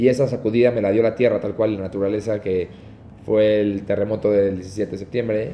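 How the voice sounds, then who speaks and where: Someone with a Mexican accent speaks at a fairly quick pace in a monotone, flat intonation. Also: man, fairly low pitch for a man. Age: 20s. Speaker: wedding videographer and entrepreneur. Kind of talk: casual interview chat.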